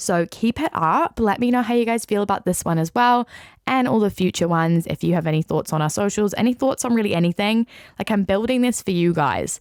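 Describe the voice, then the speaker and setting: A woman with a New Zealand accent speaks at a fairly quick pace, animated in tone with lively intonation and very even loudness. The recording is very clean with a silent background, its sound dry and close with no echo. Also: medium pitch for a woman. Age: 20s. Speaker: podcast host. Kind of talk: casual solo podcast chat.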